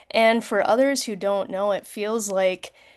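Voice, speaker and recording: With an American accent, a woman talks at a fairly slow pace in a plain, everyday voice. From US Midwest. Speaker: war veteran, event moderator. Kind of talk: panel moderation. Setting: video call.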